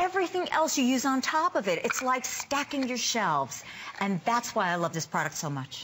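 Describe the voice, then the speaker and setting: Her voice high and swinging very widely in pitch, a woman speaks at a moderate pace over noticeable background noise. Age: 50s. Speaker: dermatologist; presenter. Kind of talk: sales pitch. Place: studio. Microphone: lapel.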